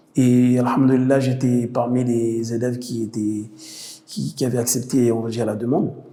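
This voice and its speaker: A man with a medium-pitched, dark, mellow voice speaks at a fairly slow pace, with audible room echo. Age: 30s. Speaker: theology student. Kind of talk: interview testimony. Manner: halting, with many fillers.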